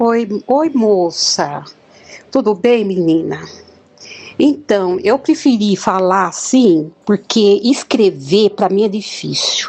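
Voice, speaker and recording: At a very slow pace and very even loudness, a woman speaks at a medium pitch with lively intonation. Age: 60s. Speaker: near-death experiencer. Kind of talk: testimony. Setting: voice message.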